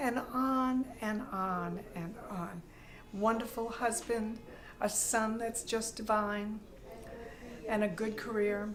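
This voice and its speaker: A woman at a fairly high pitch and very slow pace, with long, frequent pauses, audible room echo and noticeable background noise. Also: fairly even intonation. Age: 80s+. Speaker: retired dancer. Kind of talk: testimony.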